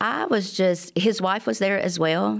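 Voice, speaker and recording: A woman with an Alabama accent uses a fairly low pitch, very wide pitch swings and vocal fry. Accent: Southern US (Alabama). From US South, Alabama. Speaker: church member sharing testimony. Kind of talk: testimony.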